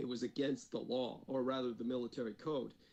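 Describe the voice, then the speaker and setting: A man with a normal speaking voice, medium in pitch, at a fairly quick pace. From United States (born in Taiwan, moved at three). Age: 50s. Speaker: former defense department employee, occult researcher. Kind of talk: interview.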